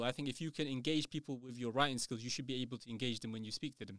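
A man with a London accent and ordinary pitch variation, in dry, close sound with no echo, on a very clean recording with a silent background. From London, England. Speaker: writer and educator. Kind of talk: casual interview. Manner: halting, repeats words.

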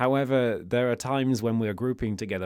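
A man talks with a British accent in a very clean recording against a silent background. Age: 20s. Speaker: podcast producer and interviewer. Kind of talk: interview and narration.

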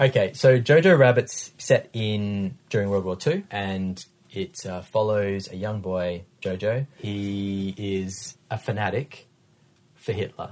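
Speaking very slowly with an Australian accent, this voice shows big swings in loudness and ordinary pitch variation. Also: man, fairly low pitch for a man. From Western Australia. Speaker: podcast co-host, former radio host. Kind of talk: casual chat about films.

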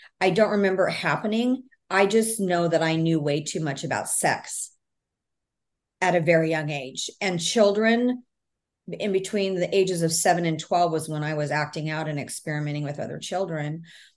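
A woman with a fairly low pitch and an unremarkable speaking voice talks at a moderate pace with ordinary pitch variation. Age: 50s. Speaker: author and speaker on trauma healing. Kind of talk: interview.

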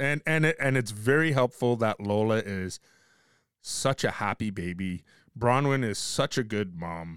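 This is an unremarkable speaking voice with lively intonation at a fairly slow pace. The sound is dry and close, with no echo. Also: man, medium pitch for a man. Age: 50s. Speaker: podcast host. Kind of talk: casual chat.

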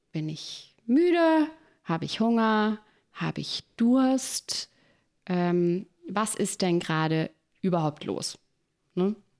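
In a very clean recording with a silent background, a woman at medium pitch speaks very slowly with long, frequent pauses and very wide pitch swings. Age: 40s. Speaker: podcast co-host and doula. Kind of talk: casual chat.

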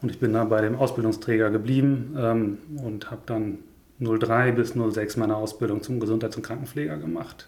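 With audible room echo, a man at a medium pitch talks in a somewhat breathy voice, with fairly even intonation and a moderate pace. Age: 30s. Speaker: nursing director. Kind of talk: casual interview.

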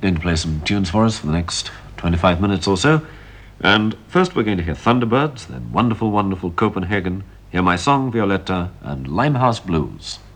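A man talks at a fairly quick pace with a fairly low pitch and lively intonation. Noticeable background noise runs behind him. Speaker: station announcer. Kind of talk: archive radio announcing, brisk and polite, reading out the programme line-up. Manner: formal.

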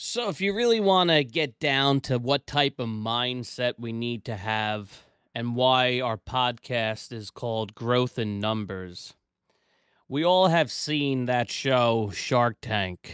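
At a very slow pace with ordinary pitch variation, this voice is heard in a very clean recording with a silent background and a dry, close sound with no echo. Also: man, medium pitch for a man. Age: 30s. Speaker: business owner and podcast host. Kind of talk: casual chat.

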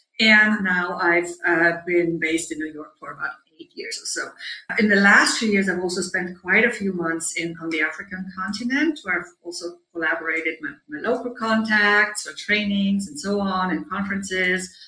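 Speaking at a moderate pace with hardly any pauses, a woman with a German accent shows ordinary pitch variation and big swings in loudness. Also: medium pitch for a woman. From Germany. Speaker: leadership coach. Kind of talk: interview.

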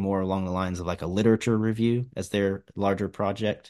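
A man speaks at a fairly quick pace in a fairly low pitch, with an American accent and monotone, flat intonation over a quiet background. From Virginia, Radford. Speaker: fisheries biologist. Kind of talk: interview. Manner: casual with frequent fillers.

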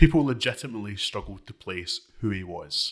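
In a very clean recording with a silent background, a man with a Scottish accent speaks at a moderate pace in a fairly low pitch with ordinary pitch variation. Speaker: political editor and podcast host. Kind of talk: casual political discussion. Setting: studio.

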